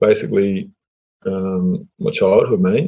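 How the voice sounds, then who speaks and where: With an Australian accent, a man is talking. He goes very slowly. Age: 30s. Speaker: online entrepreneur. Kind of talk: interview. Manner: halting.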